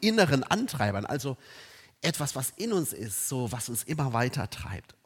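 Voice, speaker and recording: Recorded very cleanly against a silent background, a man speaks at a fairly slow pace in an animated tone. His intonation is lively and his voice somewhat breathy. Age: 50s. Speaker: preacher. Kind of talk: sermon.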